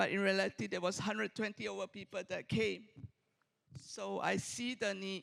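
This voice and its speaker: The sound is dry and close, with no echo. A man with a non-native accent speaks at a moderate pace. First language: not English. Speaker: community organizer, audience commenter. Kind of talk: public comment at conference.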